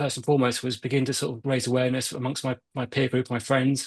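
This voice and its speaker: At a very fast pace with hardly any pauses, a man with a British accent speaks in a medium pitch, the sound dry and close with no echo. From UK. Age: 40s. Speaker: Parkinson's advocate. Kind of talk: interview.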